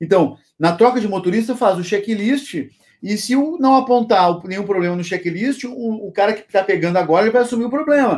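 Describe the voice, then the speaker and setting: Here a man speaks at a high pitch and a moderate pace. His intonation is lively. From Rio Grande do Sul, Brazil. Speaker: logistics consultant and YouTuber. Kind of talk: interview.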